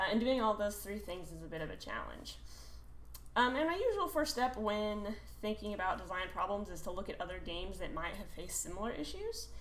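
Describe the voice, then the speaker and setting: A woman speaks at a fairly quick pace amid noticeable background noise, with audible room echo. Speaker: game developer. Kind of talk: conference talk. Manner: hesitant, many fillers; fast.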